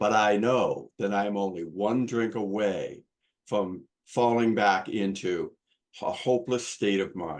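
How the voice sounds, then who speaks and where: A man with a normal speaking voice talks at a fairly slow pace and a fairly low pitch, using fairly even intonation. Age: 60s. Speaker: recovering alcoholic sharing his story. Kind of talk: testimony.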